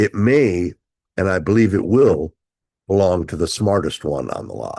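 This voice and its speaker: Against a quiet background, a man talks in an animated tone at a moderate pace. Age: 70s. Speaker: travel show host. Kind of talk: opinion commentary.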